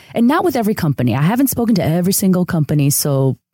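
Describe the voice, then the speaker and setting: A woman talks at a fairly quick pace in a dark, mellow tone. The very clean recording has a silent background and a dry, close sound with no echo. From Chicago area, Mexican-American community. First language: Spanish. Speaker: UX designer. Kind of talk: interview.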